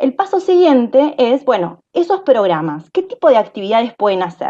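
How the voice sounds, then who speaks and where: Against a quiet background, a woman speaks at a moderate pace in a high pitch with a dark, mellow tone and very wide pitch swings. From Argentina. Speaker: AI researcher; panelist. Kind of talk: panel discussion; panel discussion answer. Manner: hesitant, many fillers. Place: home room. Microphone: video call.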